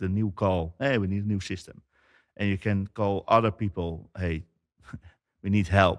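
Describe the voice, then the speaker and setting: A man's voice sits very deep and low, with fairly even intonation. The sound is dry and close with no echo, on a very clean recording with a silent background. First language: Dutch. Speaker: company founder, IT business owner. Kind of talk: interview. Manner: halting.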